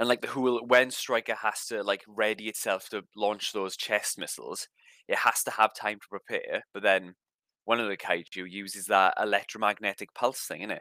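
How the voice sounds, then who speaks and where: A man with a South Welsh accent at a moderate pace, fairly low in pitch with monotone, flat intonation, a bright, sharp tone, big swings in loudness and a dry, close sound with no echo. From South Wales, Rhondda Cynon Taff. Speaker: podcast co-host. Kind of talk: casual chat.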